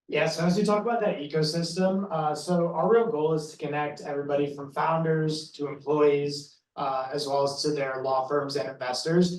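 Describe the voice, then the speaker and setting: A man with an American accent speaks at a moderate pace and a fairly high pitch, with ordinary pitch variation and audible room echo. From United States. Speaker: sales lead at a software company. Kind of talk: sponsor presentation.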